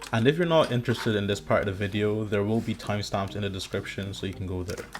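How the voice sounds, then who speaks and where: At a very fast pace, a man talks in a fairly low pitch with ordinary pitch variation amid noticeable background noise. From Ireland. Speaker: medical student vlogger. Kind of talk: voiceover narration.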